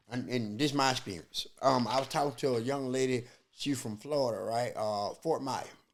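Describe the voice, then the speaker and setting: Over a silent background on a very clean recording, a man at a medium pitch speaks in an animated tone. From US South. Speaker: comedian. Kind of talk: casual chat.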